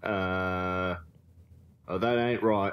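A man uses a put-on character voice at a low pitch. He speaks at a very slow pace with fairly even intonation.

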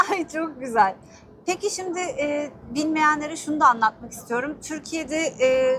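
Over music in the background, a woman speaks fairly slowly in a high pitch with ordinary pitch variation. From Istanbul, Turkey. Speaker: news reporter. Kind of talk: interview questions. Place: street. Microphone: lapel.

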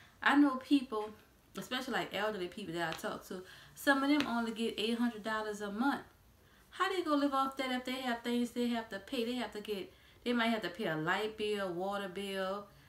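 A woman speaks fairly quickly in a fairly high voice with ordinary pitch variation. There is audible echo from the room. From US South, New Orleans; Louisiana. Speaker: YouTuber; vlogger. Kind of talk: casual vlog monologue. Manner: hesitant, frequent um fillers. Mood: frustrated about prices. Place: home room. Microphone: phone near.

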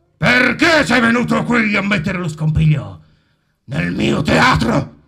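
Putting on a character voice, a man speaks at a fairly high pitch and a fairly slow pace.

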